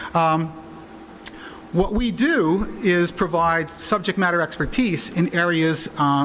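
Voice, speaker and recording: The pitch varies in an ordinary way. There is noticeable noise in the background. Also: man. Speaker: internet security expert. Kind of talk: conference presentation. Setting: conference with interpreters. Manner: hesitant, many fillers.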